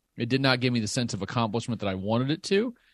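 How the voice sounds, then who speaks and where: With a slight Southern US accent, a man talks at a medium pitch with lively intonation. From Southern Illinois. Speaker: political science professor and data analyst. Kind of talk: interview.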